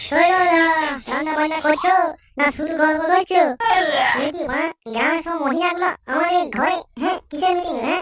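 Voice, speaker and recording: A woman's cartoonish character voice, extremely high in pitch, with fairly even intonation at a moderate pace. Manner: grumbling, incredulous.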